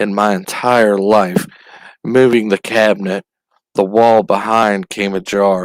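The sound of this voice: In an unforced reading voice, the speaker keeps a fairly even intonation against a quiet background.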